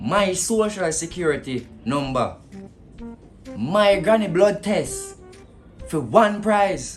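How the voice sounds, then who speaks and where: A man with a Jamaican accent and a high pitch talks over music in the background. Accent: Jamaican Patois. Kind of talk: comedy sketch, phone call monologue. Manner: sarcastic.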